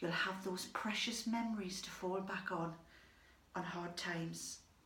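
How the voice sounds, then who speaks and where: Noticeable noise and audible echo from the room fill the clip. The woman talks fairly slowly. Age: 60s. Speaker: storyteller. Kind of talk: storytelling monologue.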